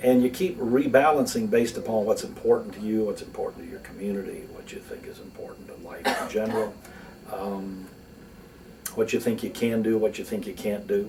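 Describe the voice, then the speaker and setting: The speech moves at a fairly quick pace, with big swings in loudness and noticeable background noise. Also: man. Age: 60s. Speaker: lawyer and philanthropist. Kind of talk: interview. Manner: conversational, with fillers.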